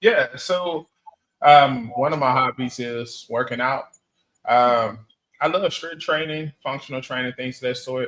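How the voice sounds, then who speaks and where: This man has an ordinary speaking voice, medium in pitch with ordinary pitch variation, and he talks at a fairly slow pace. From Texas. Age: 30s. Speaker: dating interviewee. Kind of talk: interview.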